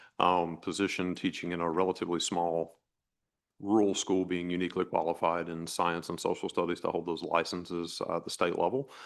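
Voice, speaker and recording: A man speaks with a very deep, low pitch at a fairly quick pace. His intonation stays fairly even over a quiet background. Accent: American. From eastern North Carolina. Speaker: job candidate, town administrator. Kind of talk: job interview.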